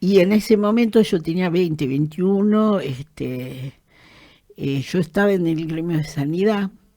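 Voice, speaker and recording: A woman's dark, mellow voice in an Argentine accent at a fairly slow pace, with ordinary pitch variation on a very clean recording with a silent background. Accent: Rioplatense Argentine Spanish. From Argentina, Greater Buenos Aires (La Matanza). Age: 70s. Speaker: trade unionist and human rights activist. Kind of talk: interview, personal testimony. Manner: halting, many fillers and repetitions.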